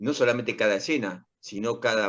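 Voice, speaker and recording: A man with an Argentine accent. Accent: Rioplatense Argentine Spanish. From Argentina, Rosario. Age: 60s. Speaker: actor and playwright. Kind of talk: interview. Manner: halting.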